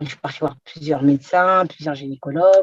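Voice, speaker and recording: In a dry, close recording with no echo, a woman's dark, mellow tone shows ordinary pitch variation. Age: 30s. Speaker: patient giving testimonial. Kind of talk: testimony.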